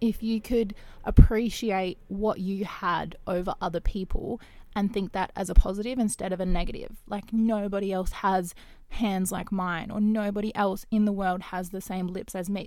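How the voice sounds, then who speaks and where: A woman speaks in an Australian accent at a medium pitch and a moderate pace. Her tone is dark and mellow, and her intonation stays fairly even. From Western Australia. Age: 20s. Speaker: podcast host and YouTuber. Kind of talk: casual solo monologue. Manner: hesitant, many fillers.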